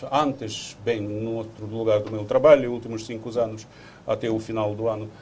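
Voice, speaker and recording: A man's intonation stays fairly even while noticeable background noise runs underneath. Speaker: diplomat. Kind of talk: TV interview. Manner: halting.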